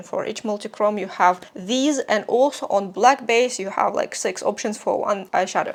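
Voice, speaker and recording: A fairly high-pitched woman's voice with a non-native accent, moderate pace, and lively intonation. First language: not English. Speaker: beauty reviewer. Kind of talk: product review. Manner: casual, with fillers.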